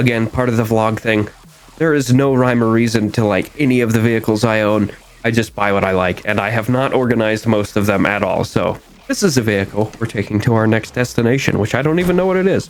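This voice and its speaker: A man speaks very fast at a medium pitch. His loudness stays very even, and his pitch varies in an ordinary way. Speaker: gaming youtuber. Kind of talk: gameplay commentary. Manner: casual; stuttering.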